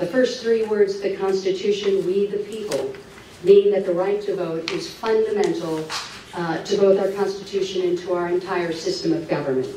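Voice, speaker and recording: In a room with audible echo and light background noise, a woman speaks at a moderate pace with fairly even intonation. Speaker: speaker. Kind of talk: public talk. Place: hall.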